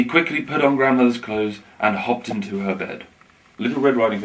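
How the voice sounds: The clip presents someone reading in a natural voice.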